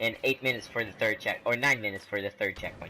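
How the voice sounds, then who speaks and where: A man is talking over noticeable background noise. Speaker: gaming YouTuber. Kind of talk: casual gameplay commentary.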